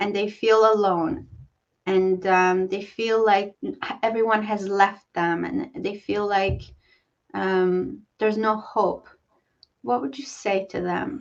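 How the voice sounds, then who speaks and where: With a non-native accent and ordinary pitch variation, the speaker moves at a very slow pace. Long, frequent pauses break up the speech. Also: woman, medium pitch for a woman. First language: not English. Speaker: talk show host. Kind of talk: interview. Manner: halting.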